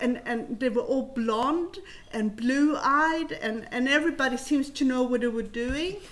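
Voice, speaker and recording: Her pitch is high, with ordinary variation. The woman speaks at a fairly slow pace. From southern Sweden (Helsingborg), early childhood in rural southern Chile. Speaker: adoptee and co-founder of an adoptee network. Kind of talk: personal life story.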